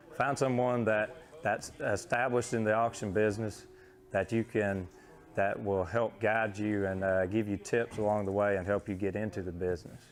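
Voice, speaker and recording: Music plays in the background behind a man with an American accent. His pitch is fairly low, with ordinary variation. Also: moderate pace. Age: 20s. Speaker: champion livestock auctioneer. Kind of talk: interview answer.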